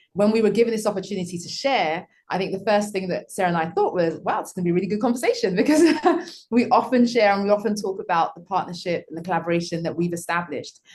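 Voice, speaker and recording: A woman with a British accent, medium pitch, ordinary pitch variation and a very fast pace. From UK. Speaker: school founder. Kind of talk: panel conversation. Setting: video call.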